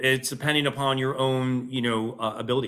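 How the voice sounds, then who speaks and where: Speaking at a moderate pace, a man with an American accent has a bright, sharp tone. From upstate New York, Utica area. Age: 40s. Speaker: running coach. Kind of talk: casual interview.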